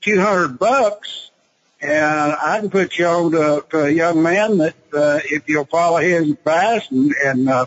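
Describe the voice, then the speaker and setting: Speaking at a fairly slow pace, a man with a high pitch keeps his loudness very even and shows ordinary pitch variation. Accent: Texan. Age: 70s. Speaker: retired businessman and options trader. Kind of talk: interview. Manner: halting, many fillers and repetitions.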